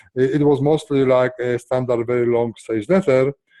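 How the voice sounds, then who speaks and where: Speaking at a fairly quick pace, a man with a strong non-native accent has a dark, mellow tone and medium pitch. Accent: strong foreign. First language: not English. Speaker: software entrepreneur. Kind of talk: interview. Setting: call. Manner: halting.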